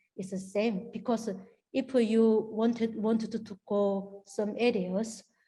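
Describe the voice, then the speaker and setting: A woman speaks with a strong Korean accent. Her tone is dark, mellow and somewhat breathy, with monotone, flat intonation. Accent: strong Korean accent, non-native English. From North Korea. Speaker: North Korean defector. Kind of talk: interview answer.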